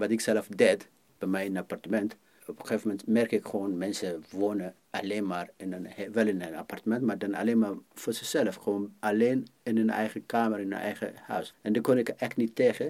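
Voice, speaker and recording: This man uses a normal speaking voice. He keeps a moderate pace with fairly even intonation. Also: fairly low pitch for a man. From Ethiopia. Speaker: filmmaker and community worker. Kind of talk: interview.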